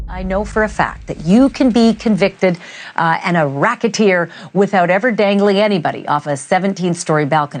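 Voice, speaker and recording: A woman's normal speaking voice at a medium pitch with ordinary pitch variation, fairly quick in pace, over a quiet background. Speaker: TV news anchor. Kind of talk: TV news presentation.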